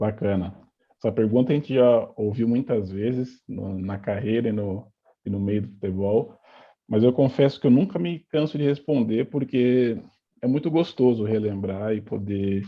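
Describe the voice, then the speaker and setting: Using a plain, everyday voice, a man speaks at medium pitch and a moderate pace with ordinary pitch variation. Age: 30s. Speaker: football coach and former player. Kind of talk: interview.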